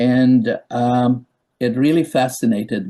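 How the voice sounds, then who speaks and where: A man's voice sits at a medium pitch with a dark, mellow tone. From Czechoslovakia. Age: 80s+. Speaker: psychiatrist. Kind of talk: interview. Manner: halting.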